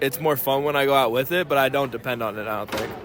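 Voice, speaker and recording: Noticeable background noise sits behind a man speaking at a very fast pace. His pitch varies in an ordinary way. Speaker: student interviewee. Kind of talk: interview answers.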